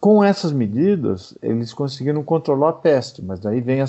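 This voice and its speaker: This man talks at a moderate pace with a medium pitch. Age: 60s. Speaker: physician and pathology professor. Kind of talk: interview. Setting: remote call. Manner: hesitant with repetitions.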